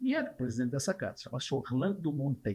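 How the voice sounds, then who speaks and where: On a very clean recording with a silent background, a man speaks with a fairly high pitch. His voice is somewhat breathy, with lively intonation. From Brazil, Paraná. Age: 80s+. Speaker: retired trucking industry leader. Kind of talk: interview, reminiscing.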